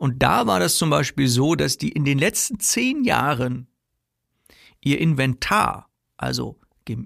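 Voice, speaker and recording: Against a silent background in a very clean recording, a man speaks at a fairly slow pace. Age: 40s. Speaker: sales coach and podcast host. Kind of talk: solo podcast monologue. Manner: casual, conversational with frequent fillers.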